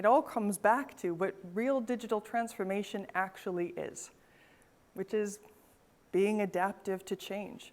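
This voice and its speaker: Speaking at a fairly slow pace with a Canadian accent, a woman has a medium pitch and ordinary pitch variation. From Northern Canada. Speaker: event host, innovation expert and author. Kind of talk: event presentation. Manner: animated.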